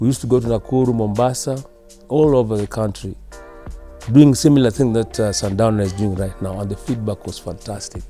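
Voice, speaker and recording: Over music in the background, a man with a medium-pitched voice talks at a fairly quick pace with lively intonation. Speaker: veteran radio broadcaster. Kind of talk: interview answer about his career. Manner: reserved, few words.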